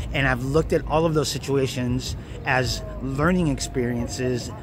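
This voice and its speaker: A man's medium-pitched voice amid audible room echo and noticeable background noise. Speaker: self-help video creator. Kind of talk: motivational talk to camera. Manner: earnest, casual.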